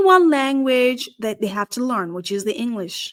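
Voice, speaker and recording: On a very clean recording with a silent background, a woman with a high pitch talks at a moderate pace, her intonation lively and her tone animated. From Nepal. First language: Nepali. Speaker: career strategist and podcast host. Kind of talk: podcast monologue.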